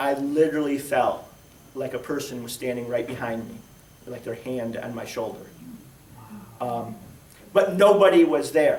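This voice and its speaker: Lively intonation at a moderate pace, with big swings in loudness, long, frequent pauses and audible room echo. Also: man, fairly high pitch for a man. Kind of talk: personal testimony talk. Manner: projected church voice; casual, with many fillers.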